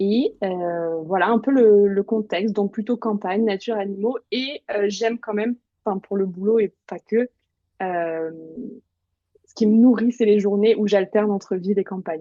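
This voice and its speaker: A woman with a plain, everyday voice speaks fairly slowly at a medium pitch, her intonation fairly even and her loudness swinging widely. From eastern France, Bresse (Burgundy). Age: 30s. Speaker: journalist and writer. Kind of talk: interview.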